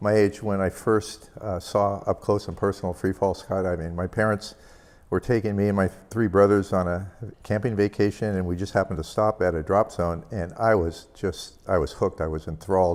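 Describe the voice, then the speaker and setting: This man has a plain, everyday voice. He talks at a fairly quick pace with a fairly low pitch. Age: 60s. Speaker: skydiver and engineer giving a conference talk. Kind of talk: conference talk.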